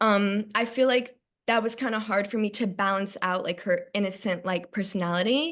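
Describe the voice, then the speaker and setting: Speaking with a Long Island accent, a woman talks at a moderate pace and medium pitch with ordinary pitch variation against a quiet background. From Long Island, New York. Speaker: stage actor. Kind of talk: casual interview.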